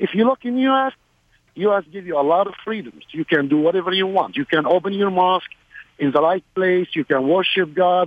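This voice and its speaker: Pitch variation is ordinary, and the pace is moderate. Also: man, high pitch for a man. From Middle East. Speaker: caller, army veteran. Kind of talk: call-in radio talk. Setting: phone call.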